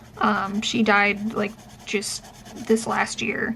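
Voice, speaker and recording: Over noticeable background noise, a woman with a fairly high pitch speaks at a fairly slow pace in a monotone, flat intonation. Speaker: professor and vlogger with chronic illness. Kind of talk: casual vlog chat. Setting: in a car. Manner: projects well.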